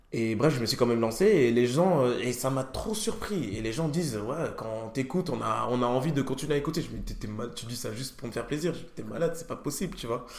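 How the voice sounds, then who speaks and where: A man's medium-pitched voice with lively intonation at a fairly quick pace, hardly any pauses, and noticeable background noise. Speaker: podcast host. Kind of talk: casual interview chat.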